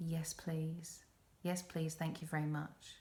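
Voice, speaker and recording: A woman with an English accent speaks in a calm tone, somewhat breathy and fairly low in pitch. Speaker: podcast host. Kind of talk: self-help podcast talk.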